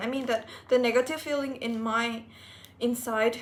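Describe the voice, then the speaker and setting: A woman's high pitch with monotone, flat intonation. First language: not English. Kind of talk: casual personal vlog talk to camera. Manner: slow.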